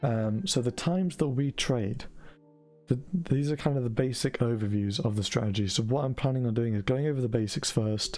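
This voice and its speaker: Over music in the background, a man with a British accent talks at a fairly quick pace, with ordinary pitch variation and very even loudness. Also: medium pitch for a man. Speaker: forex trading educator. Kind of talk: tutorial.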